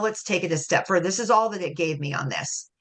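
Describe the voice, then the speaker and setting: Against a quiet background, a woman talks at a fairly quick pace in a fairly low voice with a bright, sharp tone. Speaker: presenter, nonprofit fundraising consultant. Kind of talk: workshop presentation. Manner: fast.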